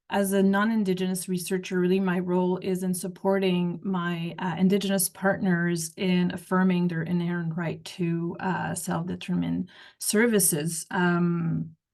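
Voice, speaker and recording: In a French Canadian accent, a woman speaks at a moderate pace and fairly low pitch, with monotone, flat intonation and hardly any pauses. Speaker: researcher. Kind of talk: panel discussion. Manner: halting.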